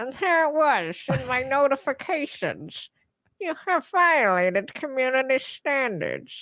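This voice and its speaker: A woman puts on a character voice with a high pitch at a fairly slow pace. The recording is very clean, with a silent background. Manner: comedic, exaggerated.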